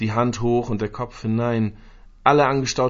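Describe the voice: The speaker does a plain reading aloud with fairly even intonation.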